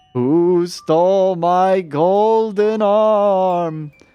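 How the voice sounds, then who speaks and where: A put-on character voice sits at a middle pitch. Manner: wailing.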